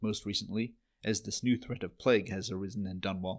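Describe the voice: The background is quiet while the text is read aloud plainly.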